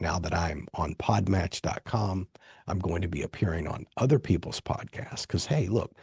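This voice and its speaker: Somewhat breathy and very deep, a man's dark, mellow voice moves at a moderate pace with ordinary pitch variation against a quiet background. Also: dry, close sound with no echo. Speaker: podcast host and author. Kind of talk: solo podcast monologue. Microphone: dynamic studio microphone.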